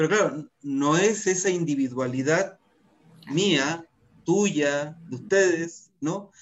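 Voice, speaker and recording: A man with high pitch and ordinary pitch variation, at a very slow pace. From northern Chile. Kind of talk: casual chat.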